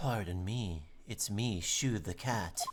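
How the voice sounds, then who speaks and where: Delivered at a fairly slow pace, the put-on character voice sits low in pitch. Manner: cutesy, put-on cat voice.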